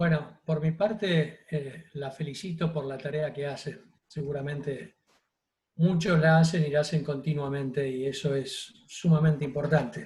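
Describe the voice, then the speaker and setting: Speaking at a fairly slow pace, a man with a fairly high pitch sounds somewhat breathy, his intonation fairly even. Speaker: doctor giving a talk. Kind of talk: public health talk answering questions.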